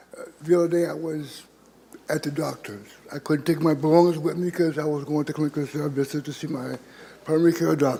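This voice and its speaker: Noticeable background noise runs under this recording. A man speaks in a fairly high pitch with monotone, flat intonation. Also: fairly quick pace. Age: 60s. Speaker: homeless public commenter. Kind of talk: public comment at council meeting. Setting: city council chamber. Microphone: too far from the microphone.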